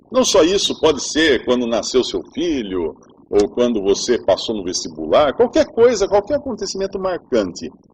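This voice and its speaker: A man speaks at a fairly slow pace. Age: 50s. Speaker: preacher. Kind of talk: sermon. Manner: conversational.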